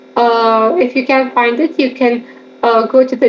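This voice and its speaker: Over noticeable background noise, a woman speaks fairly slowly with a fairly high pitch and fairly even intonation. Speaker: exam revision tutor. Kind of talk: educational lecture over slides.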